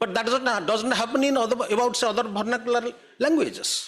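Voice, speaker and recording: A man speaks with an Odisha accent. His pitch is extremely high. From Odisha, India. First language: Odia. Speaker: writer. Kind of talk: panel talk.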